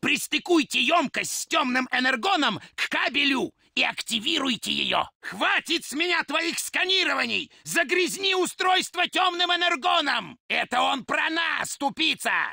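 A man does a put-on character voice at an extremely high pitch. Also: moderate pace. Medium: dub. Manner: shouting, commanding, with gloating laughter.

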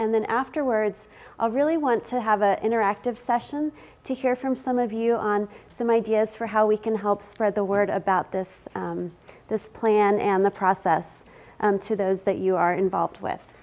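With ordinary pitch variation, this woman talks at a moderate pace. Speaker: keynote presenter. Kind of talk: conference presentation. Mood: friendly, smiling. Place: meeting room. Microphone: lapel.

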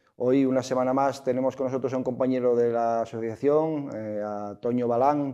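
A man's medium-pitched voice, dark and mellow in tone, flat and monotone at a moderate pace with hardly any pauses, over a quiet background. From Asturias, Trubia. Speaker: sports show host. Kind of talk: sports talk show. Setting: studio. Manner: halting. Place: studio. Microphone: lapel.

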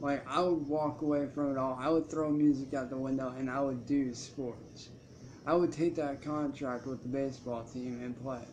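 Over light background noise, a man with a fairly high pitch speaks at a moderate pace with fairly even intonation. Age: 20s. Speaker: YouTuber and musician; YouTuber. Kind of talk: live stream monologue. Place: home room. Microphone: webcam.

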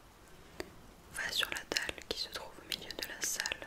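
A woman is whispering. She is soft-spoken. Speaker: reader of a story. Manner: soft whispered storytelling, close.

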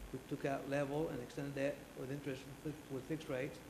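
Amid noticeable background noise, a man speaks in monotone, flat intonation. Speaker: presenter. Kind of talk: formal presentation. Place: hall. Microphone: podium.

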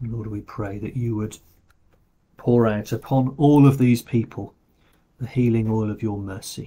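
A man with a dark, mellow, somewhat breathy tone speaks with fairly even intonation. His loudness swings a lot, and he pauses long and often. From England. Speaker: parish priest leading online morning prayer. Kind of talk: fervent intercessory prayer, spoken aloud to God. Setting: recorded video service. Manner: earnest, pleading, heartfelt; slow, halting with fillers. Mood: quiet, reverent. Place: home room. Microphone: webcam.

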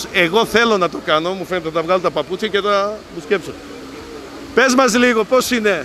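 A raised, projected, animated male voice, high in pitch with ordinary pitch variation, over noticeable background noise. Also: moderate pace. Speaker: festival presenter and video reporter. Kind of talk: live on-location reporting with street interviews. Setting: outdoors at riverside hot springs festival.

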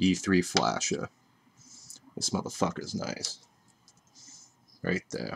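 Speech with vocal fry moves at a very slow pace over light background noise. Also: man. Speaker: tech tutorial youtuber. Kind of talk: tutorial. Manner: casual, profane. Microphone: webcam.

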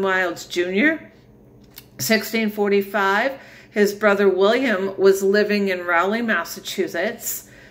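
At a very slow pace, a woman talks. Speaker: family history storyteller. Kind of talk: casual talk walking through a timeline. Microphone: phone near.

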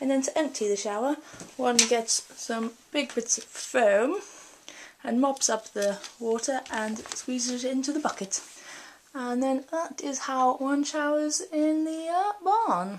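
Over light background noise, a woman speaks at a high pitch and a fairly slow pace with lively intonation. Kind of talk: casual vlog tour. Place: bathroom. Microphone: phone near.

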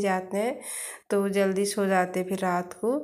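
A quiet woman's voice at medium pitch, with fairly even intonation and audible room echo. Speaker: family vlogger. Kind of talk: casual vlog narration. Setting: outdoors on rooftop; at home, kitchen. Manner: quiet voice.

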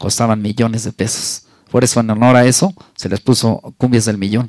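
The delivery moves at a moderate pace with ordinary pitch variation. The sound is dry with no echo, over a quiet background. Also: man. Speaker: sound system DJ. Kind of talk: casual interview. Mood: earnest, reflective. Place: home room. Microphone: handheld.

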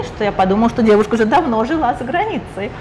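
A woman at a very fast pace, with noticeable background noise. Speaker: interviewer. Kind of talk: interview. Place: bar.

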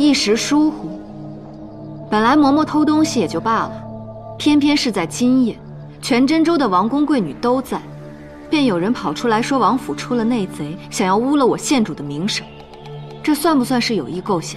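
A woman's moderately paced speech over clearly audible background music. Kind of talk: scripted drama dialogue. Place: hall.

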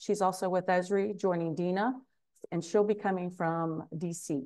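Over a quiet background, a woman talks at a moderate pace. Her tone is dark and mellow, and her pitch varies in an ordinary way. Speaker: webinar host. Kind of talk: panel introduction. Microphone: video call.

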